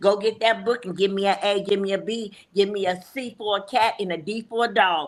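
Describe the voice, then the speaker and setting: An animated woman at medium pitch, fairly quick, with hardly any pauses. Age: 60s. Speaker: podcast co-host. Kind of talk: casual chat.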